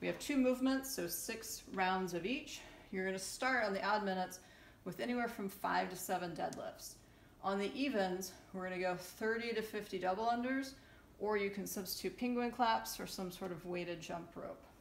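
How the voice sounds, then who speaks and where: In a room with audible echo and light background noise, a woman talks at a moderate pace with ordinary pitch variation. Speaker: fitness coach. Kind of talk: workout instruction. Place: home room. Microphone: camera far.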